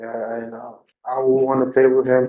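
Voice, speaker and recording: Audible room echo surrounds the recording. A man speaks at a medium pitch and a moderate pace. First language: Spanish. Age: 20s. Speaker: defendant. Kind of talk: courtroom testimony. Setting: courtroom. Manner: halting.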